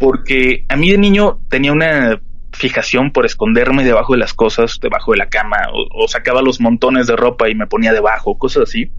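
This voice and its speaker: The speech runs at a fairly quick pace with hardly any pauses, against noticeable background noise. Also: man. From Mexico, Tijuana. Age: 30s. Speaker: horror podcast host. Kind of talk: storytelling in interview. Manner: halting, repeats words.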